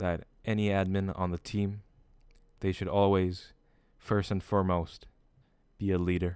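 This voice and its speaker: A man with a very deep, low pitch speaks at a moderate pace in a monotone, flat intonation. The recording is very clean, with a silent background. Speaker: community admin. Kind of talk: speech to staff. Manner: formal.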